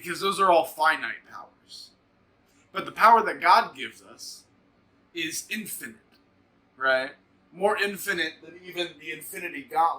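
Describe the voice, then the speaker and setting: At a moderate pace and a high pitch, a man talks with ordinary pitch variation, big swings in loudness, and long, frequent pauses. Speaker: devotional host. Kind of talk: devotional talk. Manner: projecting, strong.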